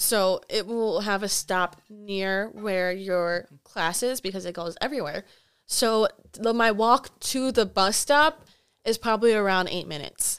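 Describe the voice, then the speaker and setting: Using a plain, everyday voice, a woman with an American accent speaks at a fairly slow pace, medium in pitch with ordinary pitch variation. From Wisconsin, Milwaukee area. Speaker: college student. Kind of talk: casual chat.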